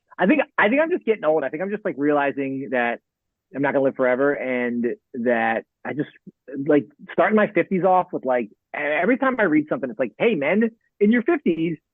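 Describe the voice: With big pitch swings, a man talks at a fairly quick pace and a fairly high pitch, the sound dry and close with no echo.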